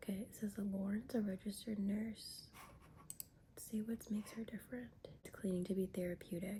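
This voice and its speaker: A woman whispering at a fairly quick pace. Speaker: YouTuber reviewing reality TV. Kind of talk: casual vlog commentary.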